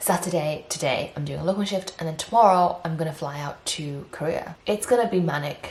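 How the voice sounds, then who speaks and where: Speaking at a fairly quick pace with hardly any pauses, a woman with a British accent uses a fairly low pitch and ordinary pitch variation. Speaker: pharmacist and vlogger. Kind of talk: casual vlog.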